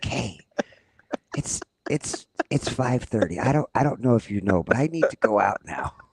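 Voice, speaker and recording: Someone uses a put-on character voice at a moderate pace, leaving long, frequent pauses. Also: man, medium pitch for a man. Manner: insistent, urgent, pushy.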